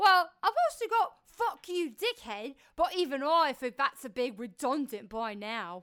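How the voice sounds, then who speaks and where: A female-sounding put-on character voice, high in pitch, swings very widely in tone. It moves at a moderate pace with hardly any pauses. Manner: defiant, crude.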